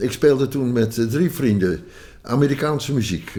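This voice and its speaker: The tone is dark and mellow. Intonation is lively. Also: man. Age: 80s+. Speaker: banjo player and folk musician. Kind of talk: interview storytelling. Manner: halting, many fillers.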